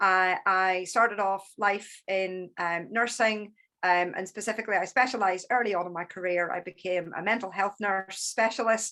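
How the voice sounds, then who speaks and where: A woman with a Northern Irish accent speaks at a moderate pace and medium pitch, her bright, sharp tone and fairly even intonation running with hardly any pauses against a quiet background. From Northern Ireland. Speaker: therapist and business coach. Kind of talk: talk.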